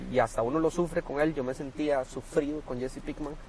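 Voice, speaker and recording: A man speaks in a Costa Rican accent. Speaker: podcast host. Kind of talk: casual chat. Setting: parked car.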